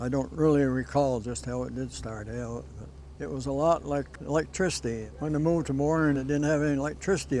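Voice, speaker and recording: With music in the background, a speaker with a New England accent talks at a fairly quick pace. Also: man. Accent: rural New England. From Vermont. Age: 80s+. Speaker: longtime local resident. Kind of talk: interview reminiscence.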